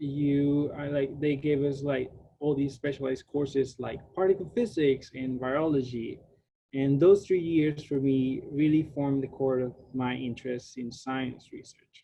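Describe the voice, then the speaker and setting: Speaking with a Spanish accent, a man with a fairly high pitch talks at a fairly slow pace, somewhat breathy, with fairly even intonation. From Puerto Rico. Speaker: graduate student researcher. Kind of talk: lecture. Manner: casual, with many fillers.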